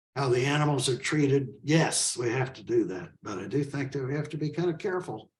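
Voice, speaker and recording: A man speaks at a fairly quick pace with hardly any pauses. His somewhat breathy voice has ordinary pitch variation and big swings in loudness. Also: fairly high pitch for a man. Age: 80s+. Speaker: author and animal rights activist. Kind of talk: interview conversation.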